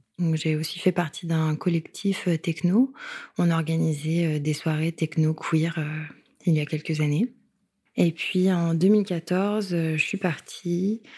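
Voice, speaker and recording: On a very clean recording with a silent background, a woman speaks very slowly in a somewhat breathy, dark, mellow tone, with fairly low pitch and fairly even intonation. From Paris suburbs, France. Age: 20s. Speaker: illustrator and activist. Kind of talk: interview testimony.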